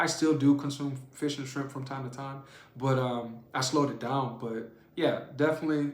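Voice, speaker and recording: In a New Orleans accent, a man with a fairly high pitch sounds animated, with audible room echo. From New Orleans, US South. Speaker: juicing channel host. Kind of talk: live stream Q&A. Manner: fast.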